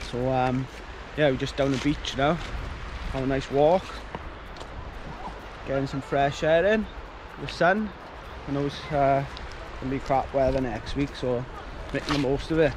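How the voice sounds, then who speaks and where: A man talks at a moderate pace with ordinary pitch variation and long, frequent pauses, in a dry sound with no echo and noticeable background noise. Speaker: vlogger. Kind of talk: casual vlog chat. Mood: upbeat, relaxed. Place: beach. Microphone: phone near.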